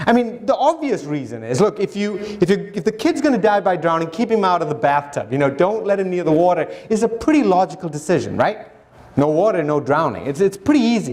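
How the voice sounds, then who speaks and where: A very fast, high-pitched male voice with very wide pitch swings over noticeable background noise. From Sri Lanka, then Africa from age nine. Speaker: conservation scientist and TV host. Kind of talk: public lecture. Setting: stage with audience. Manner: conversational, informal.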